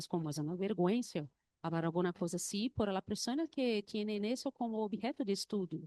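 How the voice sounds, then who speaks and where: A woman speaks in a dark, mellow tone at a medium pitch and moderate pace. Her pitch swings very widely, and the sound is dry and close with no echo. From Brazil, Recife. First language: Portuguese (speaking Spanish). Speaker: university researcher. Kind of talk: conference presentation. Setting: conference panel with audience. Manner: halting, non-fluent Spanish.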